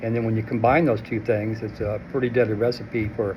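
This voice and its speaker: Noticeable background noise sits behind the speaker. He is a man with a medium pitch. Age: 70s. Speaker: formerly homeless shelter resident. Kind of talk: interview testimony. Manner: halting, many fillers.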